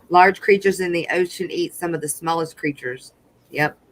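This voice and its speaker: Someone speaks at a moderate pace with a Southern accent. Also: woman. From US South, Louisiana. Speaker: livestream co-host. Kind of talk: live stream chat. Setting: live stream.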